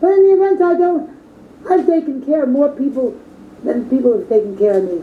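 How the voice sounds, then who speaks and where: The voice swings very widely in pitch, heard against noticeable background noise. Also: woman, high pitch for a woman. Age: 60s. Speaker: witch, coven leader. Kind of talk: interview.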